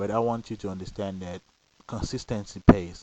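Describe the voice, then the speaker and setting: With a non-native accent, a man talks using ordinary pitch variation. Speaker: lottery system vlogger. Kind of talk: casual monologue. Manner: hesitant, repeats words.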